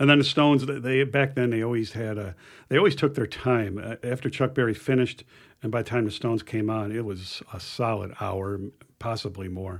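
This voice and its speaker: An ordinary speaking voice from a man at medium pitch, fairly quick, with ordinary pitch variation in a very clean recording with a silent background. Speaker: guitarist. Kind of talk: casual chat.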